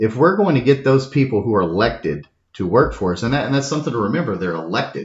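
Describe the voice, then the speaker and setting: Loud and animated, a man speaks very fast with very wide pitch swings and vocal fry. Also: medium pitch for a man. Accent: American. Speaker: journeyman plumber, union member. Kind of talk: podcast interview. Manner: animated, repetitive stammering starts.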